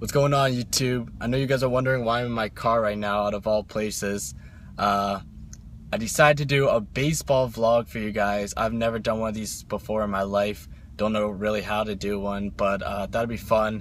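Delivered at a fairly quick pace with ordinary pitch variation, the voice has a dry sound with no echo and light background noise. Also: man, fairly low pitch for a man. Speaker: vlogger. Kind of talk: casual vlog chat. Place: car. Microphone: phone near.

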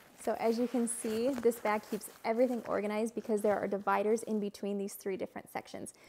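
Over light background noise, a woman speaks with fairly even intonation and hardly any pauses. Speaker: parent travel vlogger. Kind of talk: tutorial. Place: home room. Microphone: lapel.

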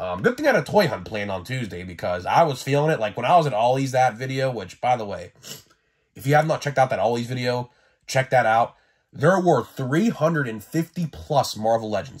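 Very clean recording of a man with a silent background, medium-pitched and somewhat breathy, at a fairly quick pace with lively intonation. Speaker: toy collector YouTuber. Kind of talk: casual monologue video. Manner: casual, energetic.

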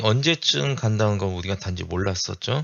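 A man talks with lively intonation at a fairly low pitch. He has an ordinary speaking voice. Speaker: stock market YouTuber. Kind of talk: chart analysis commentary.

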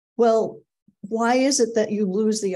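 The voice has a dark, mellow tone. It belongs to a woman. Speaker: agile coaching speaker. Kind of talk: webinar presentation. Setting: video call. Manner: casual, many filler words. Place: home room. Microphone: webcam.

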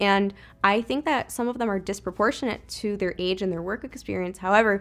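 This woman talks with ordinary pitch variation. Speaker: interviewee. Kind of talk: casual group discussion. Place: home room.

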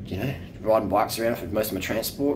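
Noticeable background noise sits behind the recording. A man talks very fast with ordinary pitch variation. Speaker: cycling vlogger. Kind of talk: casual vlog chat. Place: home room. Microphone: phone near.

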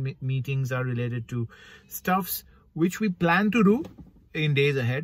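A man speaks at a moderate pace, somewhat breathy. The sound is dry, with no echo. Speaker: vlogger. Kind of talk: casual vlog chat. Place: car. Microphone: phone near.

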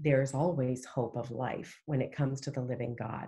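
A woman speaks with a very deep, low pitch and a dark, mellow, somewhat breathy tone. Her intonation stays fairly even at a moderate pace. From Canada. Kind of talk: interview, personal testimony.

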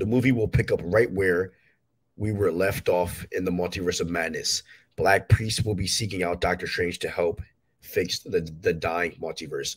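A man speaks with a low pitch and a slightly husky edge. His pitch varies in an ordinary way at a moderate pace.

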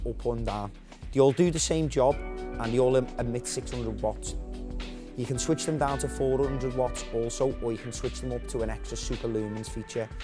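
Clear music plays behind a man who talks at a moderate pace. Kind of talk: product demonstration. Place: shop.

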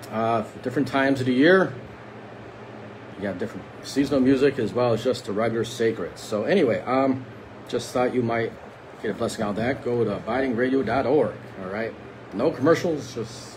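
A man's speech at a fairly quick pace, with ordinary pitch variation and noticeable background noise. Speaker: lay preacher. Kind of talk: prayer and devotional talk. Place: home room. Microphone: phone near.

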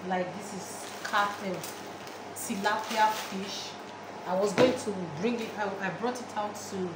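A woman is talking at a fairly slow pace through loud background noise. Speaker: home cook vlogger. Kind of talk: casual vlog chat. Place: kitchen.

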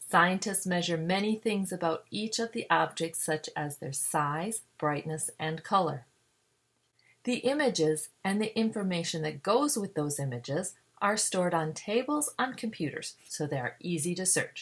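A woman with an American accent speaks at a moderate pace in a medium-pitched, somewhat breathy voice with lively intonation, on a very clean recording with a silent background. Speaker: science educator. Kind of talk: educational narration.

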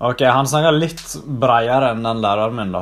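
A man talks at a moderate pace. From Norway, Sogndal area (Western Norway). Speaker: YouTuber. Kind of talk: casual vlog commentary. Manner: animated, mixes in English exclamations.

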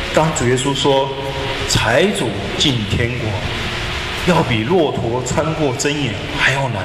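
Noticeable background noise is present. The speech moves at a fairly slow pace. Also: man. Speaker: preacher. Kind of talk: sermon. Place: church.

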